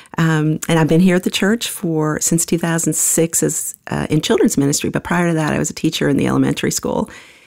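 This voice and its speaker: With an American accent, a woman speaks at a very fast pace with hardly any pauses over noticeable background noise. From New York City area. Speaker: children's ministry leader. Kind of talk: casual chat.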